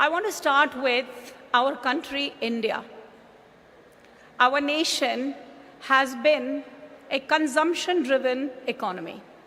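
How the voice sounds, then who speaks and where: A woman's raised, projected voice at high pitch, ordinary in pitch variation, delivered at a very slow pace with long, frequent pauses. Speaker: business executive. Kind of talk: conference speech. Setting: stage with audience.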